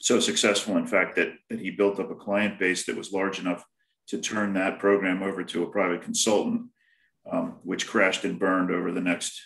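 Audible room echo around a man's fairly low voice, with fairly even intonation at a moderate pace. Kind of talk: panel self-introduction. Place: home room. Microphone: video call.

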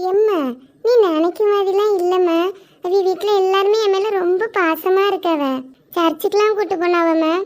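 Using a cartoonish character voice, a woman talks at an extremely high pitch and a fairly slow pace, with fairly even intonation and very even loudness. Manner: soft, affectionate.

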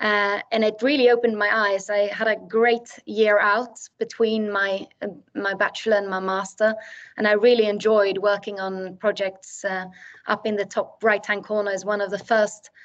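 A woman with a Swedish accent speaks at a moderate pace in a fairly high pitch, her intonation flat and monotone, against a quiet background. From Sweden. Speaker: architect. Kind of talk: lecture. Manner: hesitant, many fillers. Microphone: video call.

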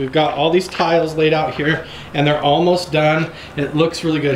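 A man's fairly quick, fairly even-toned speech with audible room echo and light background noise. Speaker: family vlogger. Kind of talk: casual vlog chat.

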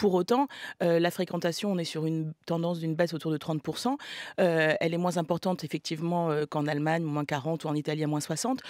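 Fairly quick talk from a woman with a fairly low pitch and ordinary pitch variation, in a dry sound with no echo over a quiet background. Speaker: film producer. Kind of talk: radio panel debate. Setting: radio studio. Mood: measured, argumentative. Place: studio. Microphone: studio mic.

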